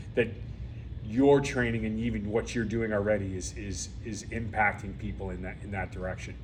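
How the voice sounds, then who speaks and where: Audible room echo surrounds a man speaking at a moderate pace with a fairly low pitch, lively intonation, and vocal fry. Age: 50s. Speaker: podcast host. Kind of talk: interview.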